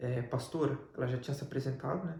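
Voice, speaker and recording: A man talks very fast with fairly even intonation. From Brazil. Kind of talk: testimony interview.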